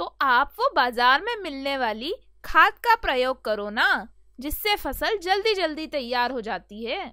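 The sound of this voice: A woman performs a cartoonish character voice, high-pitched and bright, sharp in tone, with big pitch swings. She speaks fairly slowly in a very clean recording with a silent background.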